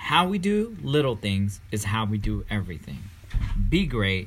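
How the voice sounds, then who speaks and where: With lively intonation, a man speaks at a fairly slow pace. Noticeable background noise is present. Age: 30s. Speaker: podcast co-host and father. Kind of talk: scripted podcast intro.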